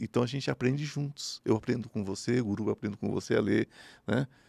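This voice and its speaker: Vocal fry runs through a man's fairly quick speech, recorded with a quiet background and a dry sound with no echo. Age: 50s. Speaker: spiritual medium; podcast guest. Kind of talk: interview. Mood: calm, explanatory. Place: studio. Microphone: studio mic.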